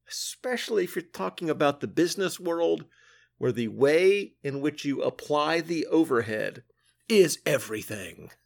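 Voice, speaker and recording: In a very clean recording with a silent background, a man speaks at a moderate pace and a fairly high pitch, with very wide pitch swings. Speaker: comics podcast host. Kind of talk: solo review podcast monologue.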